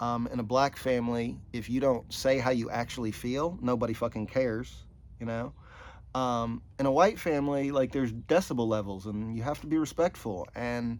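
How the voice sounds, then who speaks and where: Speaking with an American accent, a man keeps a moderate pace, medium pitch, and ordinary pitch variation. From US South. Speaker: podcast host. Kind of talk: casual chat. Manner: animated.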